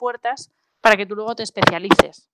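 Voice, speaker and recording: Recorded dry and close with no echo, a woman with a fairly high pitch and a normal speaking voice talks at a fairly quick pace. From Spain, Asturias (Oviedo). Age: 20s. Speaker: food blogger and consultant. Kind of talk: interview.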